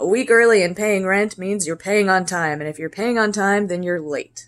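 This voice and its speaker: A woman with an American accent, medium in pitch, with ordinary pitch variation. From Texas (San Marcos). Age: 30s. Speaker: vlogger. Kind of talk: casual vlog. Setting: in her kitchen.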